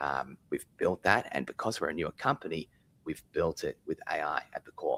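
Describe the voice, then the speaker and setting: A man with an Australian accent at a moderate pace, big swings in loudness, and a dry, close sound with no echo. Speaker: software company founder. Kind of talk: live interview. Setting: office, live stream.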